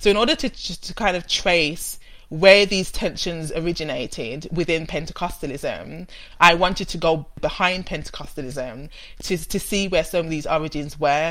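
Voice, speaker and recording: The speaker has a Birmingham accent and ordinary pitch variation. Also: woman, fairly low pitch for a woman, moderate pace. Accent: Brummie. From Birmingham, England. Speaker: theology researcher. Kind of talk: interview about theology.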